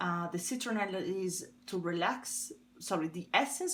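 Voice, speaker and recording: A woman with an Italian accent has a medium pitch and a somewhat breathy voice. Her intonation is lively. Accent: Italian accent, noticeable. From Italy. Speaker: tarot reader. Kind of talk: tarot reading. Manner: hesitant, with fillers.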